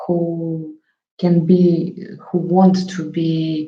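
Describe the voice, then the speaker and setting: A woman with a very deep, low pitch speaks with a Russian accent. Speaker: psychotherapist. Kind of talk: talk to camera on psychology. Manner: halting, many fillers.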